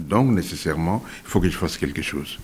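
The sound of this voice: With ordinary pitch variation, a man speaks at a low pitch. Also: slightly mellow tone.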